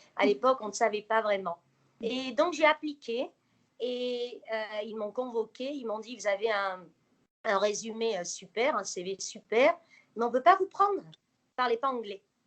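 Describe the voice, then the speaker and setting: A woman speaks at a fairly slow pace with a fairly high pitch. Her intonation is lively, with big swings in loudness. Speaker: interviewee, former nurse living abroad. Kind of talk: interview. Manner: hesitant, many fillers.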